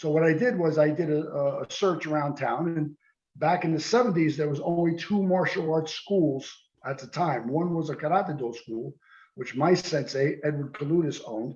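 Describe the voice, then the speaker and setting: With an American accent, a man speaks in a plain, everyday voice at a moderate pace, fairly high in pitch with ordinary pitch variation. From New Jersey, US. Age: 60s. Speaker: karate teacher and former police lieutenant. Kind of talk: interview.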